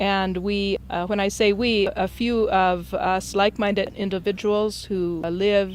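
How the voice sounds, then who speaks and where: A woman's medium-pitched voice with monotone, flat intonation. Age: 60s. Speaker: doctor, medical director. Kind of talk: interview.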